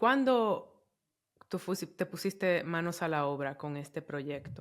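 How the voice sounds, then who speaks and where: The speaker moves at a fairly slow pace on a very clean recording with a silent background. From Dominican Republic. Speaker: podcast host. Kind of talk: interview conversation.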